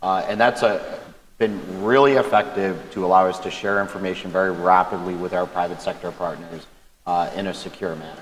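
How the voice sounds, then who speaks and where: Very deep, low male voice with fairly even intonation and a fairly quick pace. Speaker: government cybersecurity official. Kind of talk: panel discussion.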